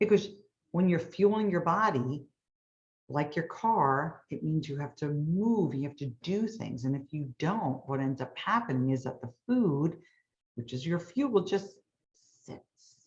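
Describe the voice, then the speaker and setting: A woman with a very deep, low voice speaks at a fairly slow pace, somewhat breathy, with lively intonation and big swings in loudness. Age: 60s. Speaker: hypnotist. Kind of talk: sales pitch.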